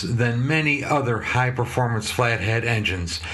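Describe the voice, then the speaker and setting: With noticeable background noise and audible room echo, a man speaks in an American accent at a fairly slow pace. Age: 60s. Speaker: motorcycle mechanic and video host. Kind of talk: casual commentary. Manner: hesitant, many fillers.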